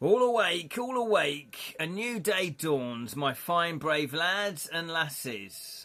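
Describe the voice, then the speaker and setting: A man's gruff, put-on character voice, high-pitched with very wide pitch swings, very slow and with hardly any pauses. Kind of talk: archaic fantasy. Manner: jovial, rousing.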